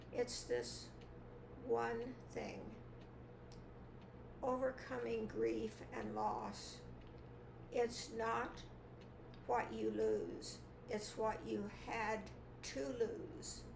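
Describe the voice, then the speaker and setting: Speaking at a very slow pace with long, frequent pauses, a woman is heard over noticeable background noise. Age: 80s+. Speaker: mentor and author. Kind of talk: interview answer.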